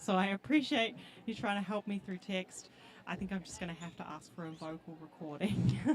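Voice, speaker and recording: At a fairly quick pace, a woman talks at a medium pitch with ordinary pitch variation and big swings in loudness. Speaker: roller derby commentator. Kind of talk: live commentary.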